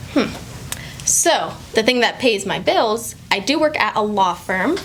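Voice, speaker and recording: Over noticeable background noise, a woman with an American accent speaks at a fairly slow pace in a fairly high voice with very wide pitch swings. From Maine, later Florida and Utah. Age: 20s. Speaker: singer. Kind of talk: casual interview.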